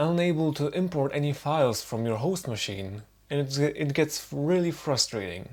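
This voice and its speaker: A man talks with a non-native accent. His intonation is lively. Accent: noticeable non-native. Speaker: tech tutorial maker. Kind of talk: unscripted screen-recording tutorial. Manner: casual, wry.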